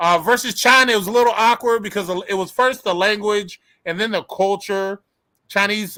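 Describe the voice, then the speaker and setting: Raised and projected, a man's high-pitched voice has a bright, sharp tone, ordinary pitch variation, and a moderate pace. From United States. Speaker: youtube channel host. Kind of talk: casual chat on a livestream. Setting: live stream.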